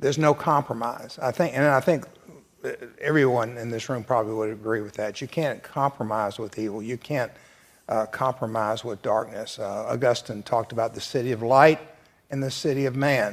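The man's voice sits at a medium pitch. Fairly even intonation runs through it. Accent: Southern US. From US South. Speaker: church class panelist. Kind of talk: church discussion.

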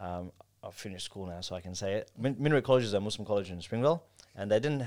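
The recording is very clean, with a silent background. In it, a man talks with an Australian accent. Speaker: kebab shop owner and entrepreneur. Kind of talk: casual chat.

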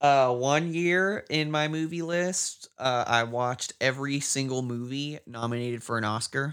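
With an ordinary speaking voice, a man speaks at a moderate pace and fairly high pitch, with ordinary pitch variation and hardly any pauses, on a very clean recording with a silent background. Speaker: podcast co-host. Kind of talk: casual chat. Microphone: new mic, crisp sound.

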